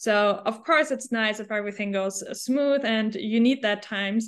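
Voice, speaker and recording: At a moderate pace, a woman with a fairly high pitch speaks in a German accent. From Germany. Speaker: hospitality tech entrepreneur. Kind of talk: interview.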